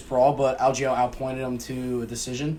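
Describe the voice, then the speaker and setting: This man has a dark, mellow tone at medium pitch. He talks at a moderate pace. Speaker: podcast co-host. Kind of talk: casual chat.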